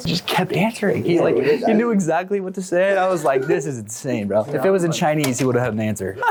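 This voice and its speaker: Very wide pitch swings mark this man's high voice as he talks at a very fast pace with hardly any pauses. Noticeable background noise runs underneath. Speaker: prank YouTuber. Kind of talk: casual talk to camera. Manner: casual, energetic.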